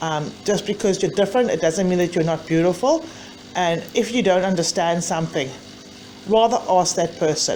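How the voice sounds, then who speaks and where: Her pitch medium and its variation ordinary, a woman talks at a moderate pace. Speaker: mother of a bullied child. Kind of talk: personal testimony to camera.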